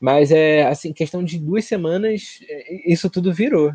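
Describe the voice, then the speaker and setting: A man with a fairly high pitch and a calm tone speaks at a moderate pace in dry, close sound with no echo. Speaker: podcast co-host. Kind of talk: casual political discussion.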